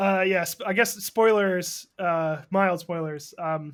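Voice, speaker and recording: A man with a high voice speaks at a very slow pace on a very clean recording with a silent background. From Massachusetts, Boston suburbs. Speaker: podcast co-host. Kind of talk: casual chat.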